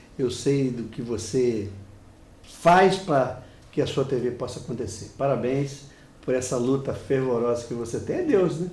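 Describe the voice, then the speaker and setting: A man talks at a fairly slow pace with a medium pitch and ordinary pitch variation. There is audible room echo. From Brazil, Rio de Janeiro. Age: 60s. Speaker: business consultant. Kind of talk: TV interview.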